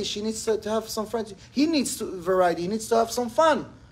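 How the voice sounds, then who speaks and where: Audible room echo surrounds a man whose high voice has ordinary pitch variation. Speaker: rabbi teaching a class. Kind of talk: lecture. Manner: fast.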